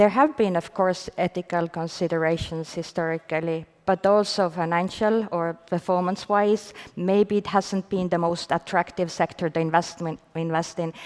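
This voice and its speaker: A woman with an Estonian accent speaks at a fairly low pitch, her intonation fairly even and hardly any pauses breaking her flow. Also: moderate pace. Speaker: venture fund manager. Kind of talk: panel discussion. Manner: hesitant, many fillers.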